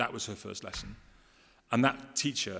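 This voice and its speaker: A man with an English accent talks at a fairly quick pace. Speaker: education official. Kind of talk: conference talk. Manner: fast.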